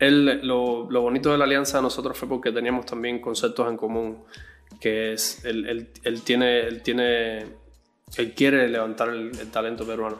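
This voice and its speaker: Music plays in the background beneath a monotone, flat delivery. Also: man, medium pitch for a man. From Cuba. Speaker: music producer and bassist. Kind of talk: interview. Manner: halting, many repetitions.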